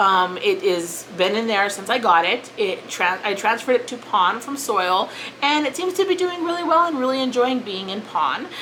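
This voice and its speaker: The pitch swings very widely at a moderate pace. Noticeable background noise is present. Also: woman. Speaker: plant YouTuber. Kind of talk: casual vlog talk. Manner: hesitant, with fillers and restarts.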